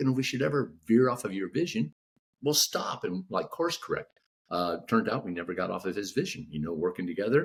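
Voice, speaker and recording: Using vocal fry and very wide pitch swings, a man with an American accent and a medium pitch talks at a fairly quick pace. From Texas, Houston. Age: 60s. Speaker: author. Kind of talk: podcast interview.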